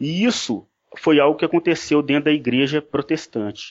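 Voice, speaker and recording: The man's voice sits fairly high in pitch, and he speaks at a moderate speed. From Brazil. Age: 30s. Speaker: former pastor. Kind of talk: interview. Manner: halting, many repetitions.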